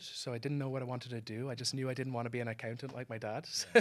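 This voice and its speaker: A man's medium-pitched voice in an Irish accent at a very fast pace, on a very clean recording with a silent background. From Ireland, Dublin. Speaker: entrepreneur. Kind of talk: interview.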